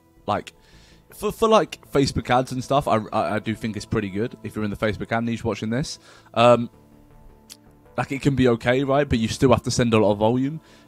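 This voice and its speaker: This man speaks at a fairly quick pace with fairly even intonation. Faint music plays behind him, and the sound is dry with no echo. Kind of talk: tutorial. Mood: casual, blunt. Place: home room. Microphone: webcam.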